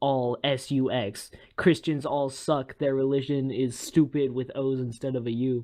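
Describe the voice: This is plain reading aloud. The text is read plainly, nothing more.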